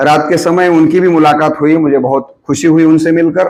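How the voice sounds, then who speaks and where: This is a man talking. He has a Marathi accent. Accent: Marathi-accented Hindi. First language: Marathi (speaking Hindi). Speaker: professor. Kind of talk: guest lecture. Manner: hesitant, with filler sounds.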